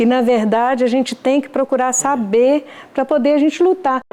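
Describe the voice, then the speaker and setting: The speech goes at a moderate pace against noticeable background noise. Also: woman. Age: 70s. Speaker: amateur theatre actress. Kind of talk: interview.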